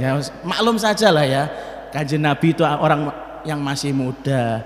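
Audible room echo surrounds the man's voice. He speaks at a moderate pace. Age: 40s. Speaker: Islamic preacher and Quran teacher; Islamic preacher, Quran teacher. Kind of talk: sermon. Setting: mosque. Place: church. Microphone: podium.

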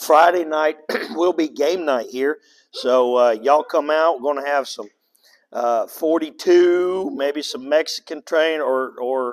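A man speaks fairly slowly, his pitch varying in an ordinary way, and the background is quiet. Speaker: pastor. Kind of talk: church announcements. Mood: relaxed, joking. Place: church.

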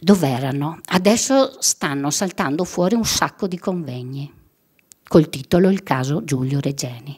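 A woman's very deep, low voice at a moderate pace against a quiet background. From Friuli, northeastern Italy. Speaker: victim's mother; guest. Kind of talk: testimony. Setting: stage with audience. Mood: emotional, personal concern. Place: hall. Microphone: podium.

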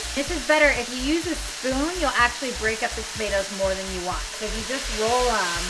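The background noise is loud. Through it, a woman talks at a moderate pace. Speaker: cooking show host. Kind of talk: tutorial. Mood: cheerful, relaxed. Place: kitchen.

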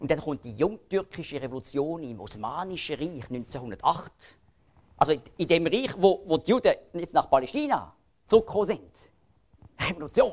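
At a moderate pace, a man with a Swiss accent speaks at a high pitch with very wide pitch swings, big swings in loudness, and long, frequent pauses. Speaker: lecturer on Bible prophecy. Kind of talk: public lecture.

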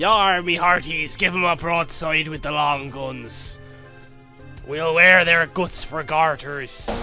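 A man's put-on character voice, fairly high in pitch and fairly slow, with clear music in the background. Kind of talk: pirate voice. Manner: swaggering, shouting orders.

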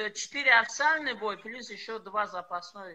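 With a bright, sharp tone, a man speaks in a raised, projected voice. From Tajikistan, Panjakent. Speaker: karate fighter and MMA fighter. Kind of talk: interview. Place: home room. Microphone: video call.

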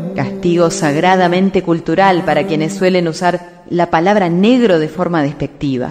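Music plays in the background while a woman with a fairly low pitch speaks at a moderate pace, with fairly even intonation and hardly any pauses. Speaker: radio announcer and journalist. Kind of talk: documentary narration.

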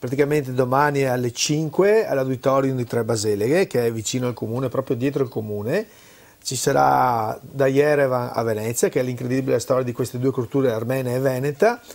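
A man talks at a fairly quick pace. His pitch shows ordinary variation. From Veneto, Italy. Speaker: cultural event organizer; guest. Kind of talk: interview. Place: studio. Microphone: lapel.

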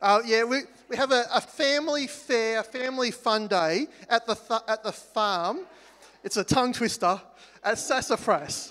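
With an Australian accent, a man speaks at an extremely high pitch in a bright, sharp tone, at a moderate pace with ordinary pitch variation. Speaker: church worship leader. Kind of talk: church announcements. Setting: church. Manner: halting. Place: hall.

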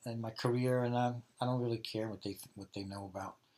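In a very clean recording with a silent background, a man with a New York accent talks at a fairly quick pace. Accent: mild New York. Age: 50s. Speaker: electronics engineer. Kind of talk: interview.

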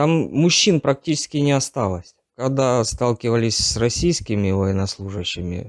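A man at a moderate pace with lively intonation, dry sound with no echo and a quiet background. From Donetsk region, eastern Ukraine; Ukraine. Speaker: captured conscript soldier; interviewee. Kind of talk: interview testimony. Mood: subdued, tense. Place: empty room.

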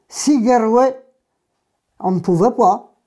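The voice has a dark, mellow tone. It belongs to a woman. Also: quiet background. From Brittany, Ploeuc-sur-Lié (Côtes-d'Armor); Brittany. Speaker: gallo speaker, oral history witness; speaker, witness. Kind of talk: oral history interview. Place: home room. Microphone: lapel.

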